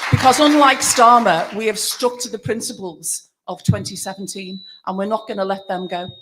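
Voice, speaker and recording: Speaking with a Liverpool accent, a woman talks at a fairly quick pace. Her pitch is medium, with ordinary variation. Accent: Liverpool (Scouse). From Liverpool, England. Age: 60s. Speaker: pensioners' campaigner and political activist. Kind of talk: rally speech.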